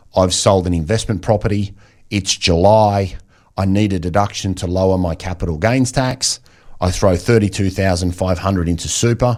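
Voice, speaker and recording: In a very clean recording with a silent background, a man with an Australian accent speaks at a moderate pace in a very deep, low pitch with fairly even intonation. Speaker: financial planner. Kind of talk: radio interview. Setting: radio studio.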